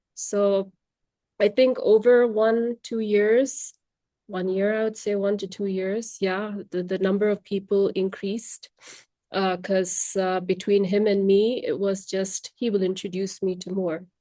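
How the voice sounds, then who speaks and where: In a Tamil accent, a woman speaks fairly slowly at a medium pitch, her dark, mellow tone held in flat, monotone intonation. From India. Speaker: language trainer. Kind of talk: podcast interview.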